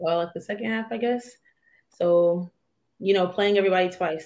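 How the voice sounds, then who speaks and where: A woman's normal speaking voice, medium in pitch, with an American accent. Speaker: professional basketball player. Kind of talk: casual interview.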